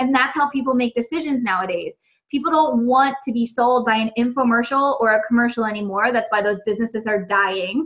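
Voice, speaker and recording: Her voice high-pitched for a woman, she speaks at a fairly quick pace, her loudness very even and her pitch varying an ordinary amount. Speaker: network marketing coach. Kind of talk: training presentation. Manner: fast.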